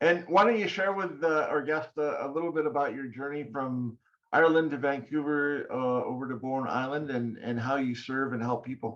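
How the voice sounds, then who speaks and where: A man speaks at a moderate pace with hardly any pauses, in a normal speaking voice with ordinary pitch variation. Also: fairly high pitch for a man. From Canada. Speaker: podcast host. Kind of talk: podcast interview.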